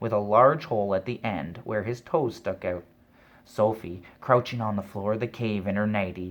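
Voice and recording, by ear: A natural voice reading aloud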